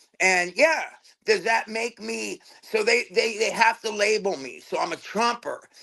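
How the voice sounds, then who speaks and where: A man's raised, projected voice, high-pitched and animated, at a fairly slow pace. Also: lively intonation. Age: 60s. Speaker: tattoo artist. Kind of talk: casual chat. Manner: halting, repeats words.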